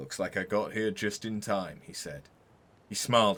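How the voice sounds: A natural reading voice is used throughout this clip.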